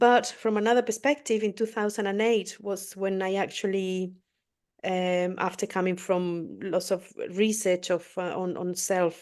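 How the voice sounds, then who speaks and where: Against a quiet background, a woman with a non-native accent speaks at a fairly slow pace in a medium-pitched voice with fairly even intonation. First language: not English. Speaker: spiritual podcast co-host. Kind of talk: interview. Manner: halting.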